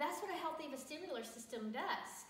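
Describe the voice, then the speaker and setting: With audible room echo and noticeable background noise, a woman speaks at a moderate pace with lively intonation. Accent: American. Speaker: teacher. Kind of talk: tutorial. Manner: casual, conversational.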